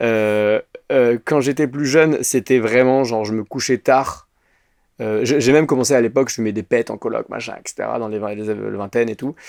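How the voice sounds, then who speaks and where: The recording is very clean, with a silent background and a dry, close sound with no echo. A man speaks at medium pitch with ordinary pitch variation. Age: 30s. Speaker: actor and sketch creator. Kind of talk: casual interview chat. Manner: fast; hesitant, many fillers.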